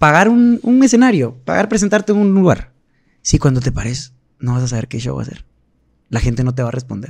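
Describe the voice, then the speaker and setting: A man talks at a fairly quick pace, his voice somewhat breathy. His pitch swings very widely, and the background is quiet. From Guatemala. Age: 30s. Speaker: singer; podcast guest. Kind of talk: casual chat. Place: studio. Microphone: studio mic.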